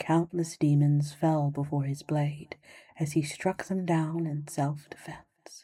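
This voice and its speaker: Soft-spoken and somewhat breathy, a woman talks at a very slow pace with a very deep, low pitch and fairly even intonation. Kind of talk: sleep story.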